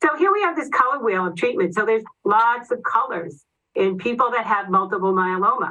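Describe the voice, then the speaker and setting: Speaking at a fairly quick pace in a Boston accent, a woman uses a fairly high pitch with very wide swings and a bright, sharp tone. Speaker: oncology nurse. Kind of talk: educational presentation. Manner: fast.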